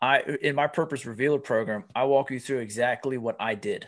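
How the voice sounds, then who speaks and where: On a very clean recording with a silent background, a man with an American accent and a normal speaking voice talks fairly quickly at a medium pitch with fairly even intonation. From US, Pennsylvania. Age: 40s. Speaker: life coach and author. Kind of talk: interview conversation.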